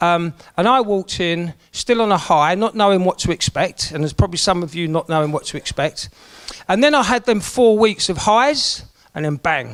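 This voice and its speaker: A man speaks with a South London accent at a high pitch. His intonation is lively and his tone animated. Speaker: event MC. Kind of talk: motivational talk to group. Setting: room with live audience.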